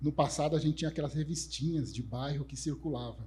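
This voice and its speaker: A man's fairly high, somewhat breathy voice with a dark, mellow tone, at a moderate pace, amid audible room echo. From Brazil, São Paulo north zone periphery. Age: 40s. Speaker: conference speaker, developer relations professional. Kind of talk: conference talk. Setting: stage with audience. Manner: casual, joking.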